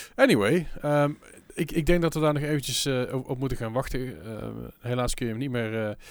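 A man's fairly high voice at a moderate pace, with ordinary pitch variation, on a very clean recording with a silent background. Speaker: podcast host. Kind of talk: casual chat. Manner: rambling, halting with filler words.

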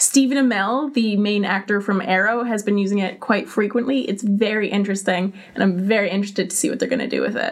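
Against noticeable background noise, a woman speaks very fast at medium pitch with fairly even intonation. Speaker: social media specialist. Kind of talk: casual chat. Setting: studio.

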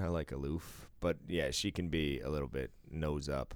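In a very deep, low voice, a man speaks with vocal fry. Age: 40s. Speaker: podcast co-host. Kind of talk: casual chat. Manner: animated.

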